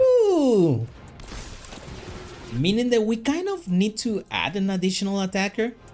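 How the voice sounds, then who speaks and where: Over music in the background, the speaker uses lively intonation in a non-native accent, moving at a fairly slow pace with long, frequent pauses. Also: man, high pitch for a man. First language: not English. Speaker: gaming YouTuber. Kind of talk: live gameplay commentary. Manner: halting.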